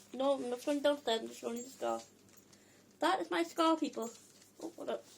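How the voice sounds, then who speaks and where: A woman talks at a very fast pace in a high pitch, with ordinary pitch variation and big swings in loudness. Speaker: video blogger sharing health experiences. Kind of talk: casual vlog talk to camera.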